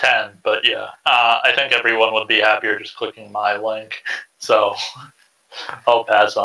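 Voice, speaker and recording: A man at a fairly slow pace, with long, frequent pauses. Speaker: tabletop RPG player. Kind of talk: casual chat. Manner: monotone.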